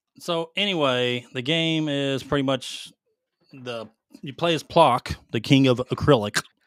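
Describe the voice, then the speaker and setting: A man with a Southern US accent talks at a fairly slow pace, his pitch fairly high and his pitch variation ordinary. The recording is very clean and dry, with a silent background, no echo, and big swings in loudness. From US South, Mississippi. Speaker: gaming podcast co-host. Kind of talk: casual chat.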